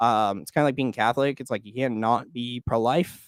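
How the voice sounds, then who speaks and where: In an ordinary speaking voice, a man of medium pitch talks fairly quickly. The sound is dry and close with no echo, on a very clean recording with a silent background. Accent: American. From Oklahoma. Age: 20s. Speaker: political commentator, YouTuber. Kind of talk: live stream commentary. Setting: live stream. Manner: casual, filler-heavy.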